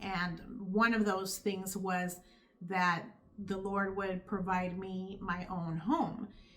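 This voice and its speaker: A woman with a Californian accent speaks at a medium pitch in a monotone, flat intonation. Audible room echo surrounds her voice. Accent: Californian American. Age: 50s. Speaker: YouTuber sharing faith testimony. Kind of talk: testimony. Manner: casual, conversational.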